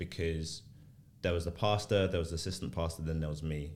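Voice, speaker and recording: A speaker with a London accent is heard with audible room echo. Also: man. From South London, Tulse Hill. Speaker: church planter. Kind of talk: casual chat.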